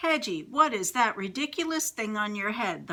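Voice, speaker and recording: A woman puts on a character voice at a fairly high pitch. She keeps a moderate pace. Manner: snorting, scornful.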